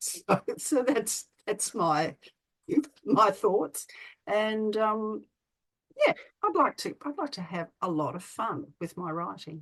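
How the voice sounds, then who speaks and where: With an Australian accent, a woman speaks very slowly at medium pitch, with very wide pitch swings and long, frequent pauses. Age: 60s. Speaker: children's author. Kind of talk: interview. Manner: halting.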